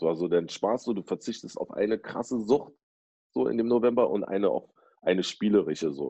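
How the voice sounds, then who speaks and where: A man speaks at a fairly quick pace with vocal fry and lively intonation. His fairly low voice has a dark, mellow tone. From Berlin, Germany. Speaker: DJ and rapper. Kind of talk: casual chat. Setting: at home, video call.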